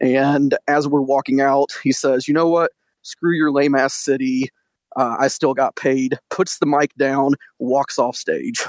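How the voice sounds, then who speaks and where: Speaking in an American accent, a man with an ordinary speaking voice talks at a fairly slow pace and fairly high pitch, with fairly even intonation, very even loudness, and a dry, close sound with no echo. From Detroit, Michigan. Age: 20s. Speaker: caller. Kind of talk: anecdote on a call-in show.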